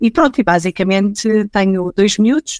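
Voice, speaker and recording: The recording of this woman sounds dry and close, with no echo. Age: 40s. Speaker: HR director. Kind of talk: podcast interview. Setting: at home, remote.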